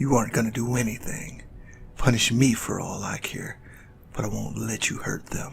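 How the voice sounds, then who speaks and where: A man's put-on character voice at medium pitch and moderate pace, over clear background noise. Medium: audio drama. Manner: earnest, protective.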